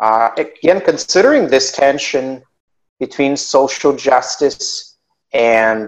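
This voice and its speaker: A man's fairly high voice, an unremarkable speaking voice, with ordinary pitch variation. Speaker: podcast host. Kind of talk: interview, conversational.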